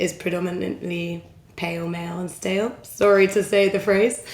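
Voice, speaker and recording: A woman speaks in an English accent at a medium pitch. Her intonation is flat and monotone, and there is noticeable background noise. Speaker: recruitment consultant. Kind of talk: podcast interview.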